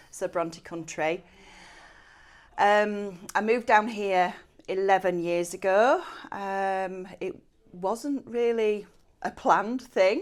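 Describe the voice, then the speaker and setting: With a Yorkshire accent, the speaker goes at a very slow pace with long, frequent pauses and ordinary pitch variation, recorded very cleanly against a silent background. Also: woman, medium pitch for a woman. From West Yorkshire, near Haworth. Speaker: cleaning business owner. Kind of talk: podcast interview chat. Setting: studio, on camera.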